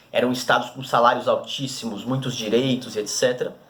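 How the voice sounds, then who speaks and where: Fairly high-pitched male speech at a fairly quick pace over noticeable background noise. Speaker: teacher. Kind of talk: recorded lesson. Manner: fast.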